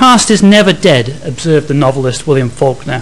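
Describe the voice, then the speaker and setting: In a normal speaking voice, the delivery moves at a moderate pace with lively intonation. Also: man. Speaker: head of school, academic. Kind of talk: formal vote of thanks. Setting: lecture hall with audience. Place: hall.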